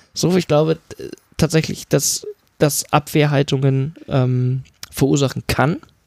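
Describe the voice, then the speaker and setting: A man speaks at a very slow pace in a fairly high pitch, with long, frequent pauses, very even loudness and a monotone, flat intonation. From rural Germany. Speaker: podcast co-host. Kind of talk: casual political discussion.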